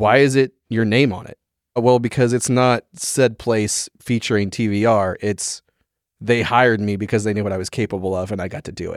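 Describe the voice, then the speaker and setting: Here is an ordinary speaking voice: a man at medium pitch, talking at a moderate pace with fairly even intonation. The recording is very clean with a silent background, and the sound is dry and close with no echo. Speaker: barber and bourbon fan, new tasting host. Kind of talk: casual chat. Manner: joking, playful.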